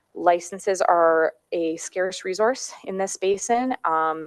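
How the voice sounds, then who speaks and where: With a Canadian accent, a woman speaks with ordinary pitch variation. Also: dry, close sound with no echo. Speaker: engineering presenter at council committee. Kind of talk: presentation to municipal committee. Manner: fast; many filler ums.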